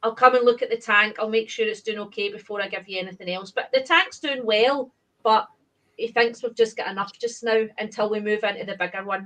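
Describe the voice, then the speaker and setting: A woman with a Glaswegian accent speaks at a fairly quick pace with fairly high pitch. Her tone is bright and sharp, and her intonation fairly even. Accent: Glaswegian Scottish. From Scotland, Glasgow area. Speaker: aquarium hobbyist. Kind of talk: casual chat.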